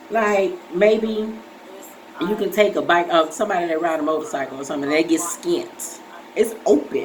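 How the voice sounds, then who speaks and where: A woman's soft-spoken voice with noticeable noise in the background. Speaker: vlogger with breast cancer. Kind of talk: casual vlog. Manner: halting.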